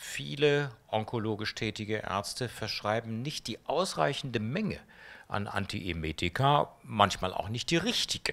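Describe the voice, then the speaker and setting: Using an unremarkable speaking voice, a man talks at a fairly slow pace with a fairly low pitch and lively intonation. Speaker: oncologist; interviewee. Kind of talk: interview. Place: hall. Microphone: handheld.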